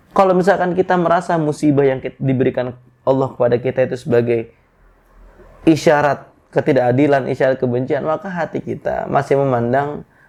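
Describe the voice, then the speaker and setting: A man speaks at a fairly high pitch with ordinary pitch variation. His pace is fairly quick. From Bekasi area, Indonesia (Javanese parents). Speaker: Islamic preacher. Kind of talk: religious talk.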